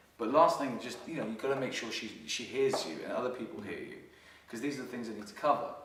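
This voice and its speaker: Very fast speech with ordinary pitch variation, big swings in loudness, noticeable background noise and audible room echo. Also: man, medium pitch for a man. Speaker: dating coach. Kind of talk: casual chat.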